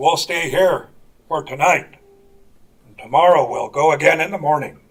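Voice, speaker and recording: Putting on a raspy character voice, a man talks at a fairly high pitch and a moderate pace. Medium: stage play.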